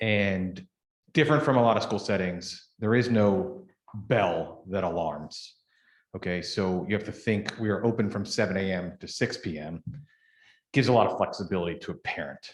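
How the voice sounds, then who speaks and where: In a very clean recording with a silent background, a man with a Pittsburgh accent speaks at a moderate pace and a fairly low pitch. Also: ordinary pitch variation. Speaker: daycare owner. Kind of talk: public meeting presentation. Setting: township board meeting.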